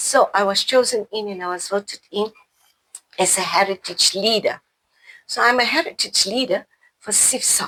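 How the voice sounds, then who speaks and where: A woman with a bright, sharp tone and medium pitch talks at a moderate pace with ordinary pitch variation, leaving long, frequent pauses, in a dry, close sound with no echo. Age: 60s. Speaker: community liaison officer. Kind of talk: interview.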